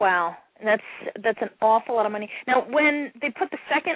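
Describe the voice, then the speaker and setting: Here a woman has an unremarkable speaking voice, pitched fairly high. She talks at a fairly quick pace with lively intonation. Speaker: radio host. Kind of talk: interview, hosting a radio show.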